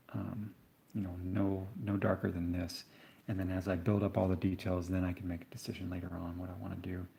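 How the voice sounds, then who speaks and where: A soft-spoken man with a very deep, low pitch and a dark, mellow tone talks at a fairly quick pace. His voice is somewhat breathy and relaxed in tone. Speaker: painter. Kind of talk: live-stream painting tutorial. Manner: relaxed, conversational.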